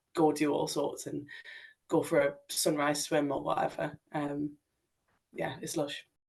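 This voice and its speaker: In a northeast English accent, a woman speaks at a very deep, low pitch with monotone, flat intonation. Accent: northeast English (Sunderland). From northeast England, Sunderland. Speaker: climber and paraclimbing athlete. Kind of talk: podcast interview. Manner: casual, many fillers.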